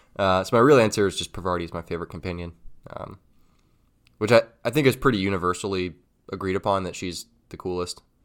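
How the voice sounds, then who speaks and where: A man speaks at a very fast pace in a very deep, low pitch with ordinary pitch variation, on a very clean recording with a silent background. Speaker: video game podcast co-host. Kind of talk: casual chat.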